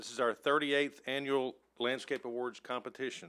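The man speaking has a bright, sharp tone. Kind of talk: public meeting presentation. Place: hall. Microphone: podium.

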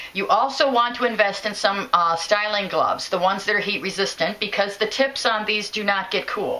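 The pace is fairly quick. It comes from a woman speaking. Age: 50s. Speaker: product reviewer. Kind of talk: product review tutorial. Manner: hesitant, with fillers. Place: home room. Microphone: phone near.

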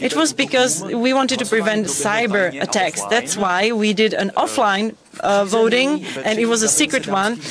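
The speech moves at a moderate pace. The sound is dry with no echo, but noticeable background noise is present. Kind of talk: interpreted comedic conference talk. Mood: deadpan comic. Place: booth.

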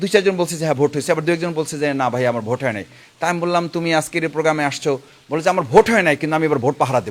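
It's a normal speaking voice from a man, fairly high in pitch with ordinary pitch variation. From Bangladesh, Patuakhali (Bauphal). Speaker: politician, parliamentary candidate. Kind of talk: interview.

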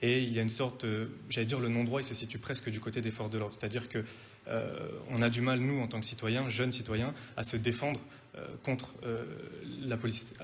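Against light background noise, a man speaks at a fairly quick pace in a monotone, flat way, with long, frequent pauses. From France. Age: 20s. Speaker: parliamentary candidate. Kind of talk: televised political debate. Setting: TV studio. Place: studio. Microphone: studio mic.

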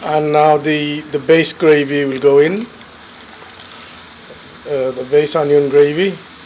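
The speech comes at a fairly slow pace, with light background noise. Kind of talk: casual cooking commentary. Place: kitchen. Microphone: phone near.

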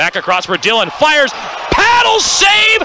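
Noticeable background noise surrounds a man whose extremely high voice makes very wide pitch swings at a moderate pace. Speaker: hockey play-by-play announcer. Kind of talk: live sports commentary. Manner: animated, rising in pitch on goals.

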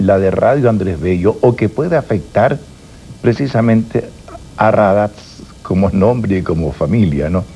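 A man's voice is heard with light background noise underneath. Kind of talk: interview answer, conversational. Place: studio.

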